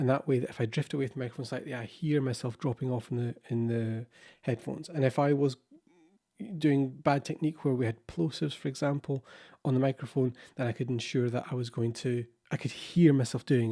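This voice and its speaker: A man's medium-pitched, dark, mellow voice at a very fast pace, with fairly even intonation. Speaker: podcast producer. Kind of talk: tutorial.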